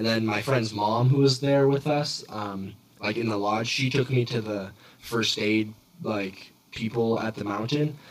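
Against noticeable background noise, a man with a medium pitch speaks at a fairly slow pace with fairly even intonation. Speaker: podcast host. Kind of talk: casual chat. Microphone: echoey audio from poorly set up mic.

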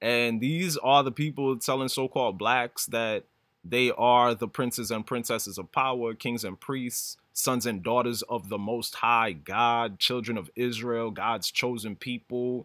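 A man speaks at a fairly slow pace with hardly any pauses, in a medium pitch with a bright, sharp tone and fairly even intonation. The recording is very clean, with a silent background. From New York. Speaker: podcast host. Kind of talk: casual monologue. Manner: halting.

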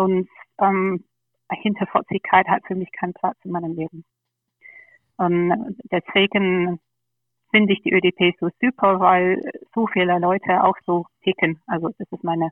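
Speaking with a slight English accent, a woman talks at a fairly slow pace and medium pitch with fairly even intonation and long, frequent pauses. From England, London. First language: English (speaking German). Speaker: party board candidate. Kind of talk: podcast interview.

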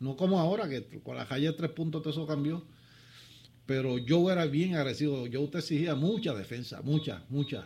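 A man's fairly high, somewhat breathy voice with a dark, mellow tone, ordinary pitch variation and a moderate pace. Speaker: former basketball player. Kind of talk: studio interview. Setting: studio.

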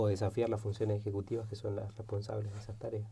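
A somewhat breathy voice with a dark, mellow tone. It moves at a fairly quick pace with monotone, flat intonation. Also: man. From Argentina, Neuquén (Patagonia). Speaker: philosopher and game designer. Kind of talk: interview.

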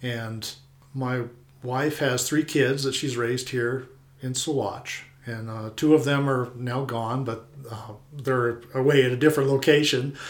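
With an American accent, a man speaks at a fairly slow pace in a monotone, flat intonation, his loudness swinging widely amid audible room echo. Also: medium pitch for a man. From Colorado. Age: 50s. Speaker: retired air force flyer and local homeowner. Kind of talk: interview.

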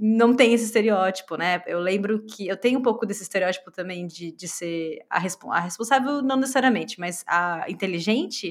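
A woman with a normal speaking voice talks at a moderate pace and fairly high pitch, with ordinary pitch variation and hardly any pauses. Her loudness swings widely. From Brazil. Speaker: podcast co-host. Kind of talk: casual chat.

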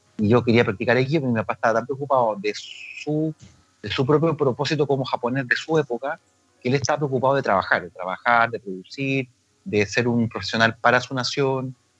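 The speech comes at a very fast pace with ordinary pitch variation, in a dry, close sound with no echo and music in the background. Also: man. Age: 40s. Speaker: aikido teacher and therapist. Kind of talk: casual interview.

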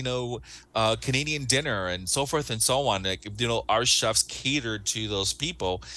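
There's vocal fry in this man's voice as he speaks at a moderate pace with ordinary pitch variation. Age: 40s. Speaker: cruise line sales director. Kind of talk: interview.

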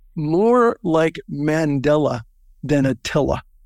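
Recorded very cleanly with a silent background and a dry, close sound with no echo, a man speaks very slowly at a high pitch with very wide pitch swings. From US, Southern California. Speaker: business networking organization founder. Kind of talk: interview.

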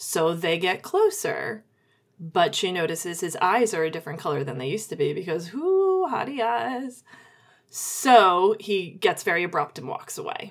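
Her pitch is medium, swinging very widely as this woman talks at a moderate pace. The recording is very clean, with a silent background. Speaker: podcast host and author. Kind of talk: casual chat about writing craft.

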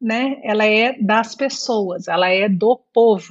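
A woman talks at a fairly high pitch with ordinary pitch variation. She has an ordinary speaking voice. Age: 40s. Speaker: infectious disease doctor. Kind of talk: interview.

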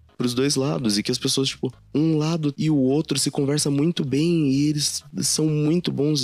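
In a Brazilian accent, a man talks at a moderate pace. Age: 20s. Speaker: podcast host. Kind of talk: solo personal monologue.

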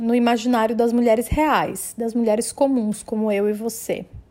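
A woman's voice, high in pitch. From Brazil, Maranhão (São Luís). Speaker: journalist and podcast host. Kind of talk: personal narration.

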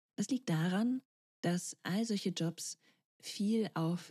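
A woman talks at a very slow pace, her voice somewhat breathy with a dark, mellow tone. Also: dry, close sound with no echo. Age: 30s. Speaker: podcast host and career coach. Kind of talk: solo podcast monologue.

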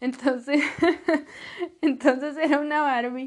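This woman's voice is pitched high. The pitch variation is ordinary. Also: very clean recording, silent background. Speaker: podcaster. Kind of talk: casual monologue. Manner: animated. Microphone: sometimes far from the mic.

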